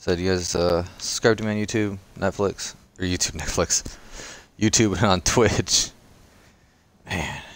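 His pitch varies in an ordinary way. This man's voice sits very deep and low. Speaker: gaming streamer. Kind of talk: live gameplay commentary. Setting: livestream at home. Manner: casual, rambling.

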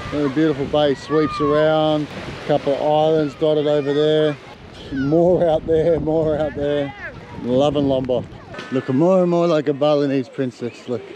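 A man speaks in a monotone, flat intonation at very even loudness. The sound is dry with no echo, and there is noticeable background noise. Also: moderate pace. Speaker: travel vlogger. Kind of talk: casual vlog chat. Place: beach. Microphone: phone near.

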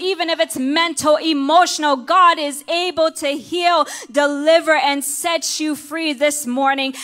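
Her voice high in pitch, a woman speaks at a fairly slow pace in a monotone, flat intonation. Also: quiet background. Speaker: minister preaching. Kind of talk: sermon. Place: church. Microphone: handheld.

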